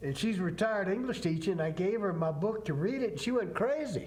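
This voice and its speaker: In a Southern accent, a man with a high pitch talks at a fairly quick pace, making very wide pitch swings, with audible room echo around him. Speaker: author. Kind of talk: TV interview.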